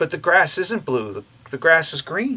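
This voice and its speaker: In a put-on character voice, a man talks high-pitched at a moderate pace. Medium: solo performance.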